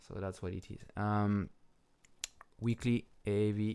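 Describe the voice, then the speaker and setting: In a French accent, a man speaks at a fairly low pitch with monotone, flat intonation on a very clean recording with a silent background. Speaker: crypto trading analyst, video host. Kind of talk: chart analysis commentary. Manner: casual, hesitant with fillers.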